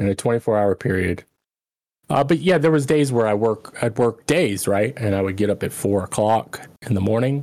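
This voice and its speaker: The man has an unremarkable speaking voice at medium pitch. His intonation is lively and his pace moderate. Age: 30s. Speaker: former streamer. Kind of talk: casual chat.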